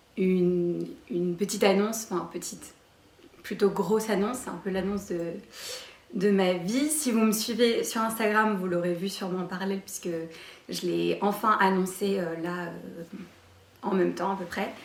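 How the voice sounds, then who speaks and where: Shaky speech at a moderate pace comes with long, frequent pauses and fairly even intonation, heard through audible room echo and noticeable background noise. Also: woman, medium pitch for a woman. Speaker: lifestyle YouTuber. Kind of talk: casual vlog Q&A. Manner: hesitant, many fillers; trembling voice.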